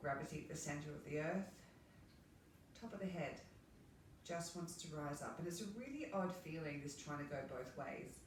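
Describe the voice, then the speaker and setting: Relaxed and calm, a woman with an Australian accent speaks at a moderate pace with fairly even intonation, amid audible room echo and noticeable background noise. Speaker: movement and relaxation instructor. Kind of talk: guided movement class. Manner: relaxed, calm.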